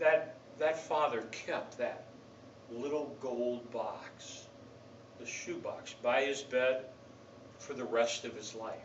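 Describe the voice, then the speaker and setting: With a fairly high pitch, a man talks at a very slow pace with long, frequent pauses and big swings in loudness over noticeable background noise. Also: fairly even intonation. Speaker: pastor. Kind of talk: sermon delivered to a congregation.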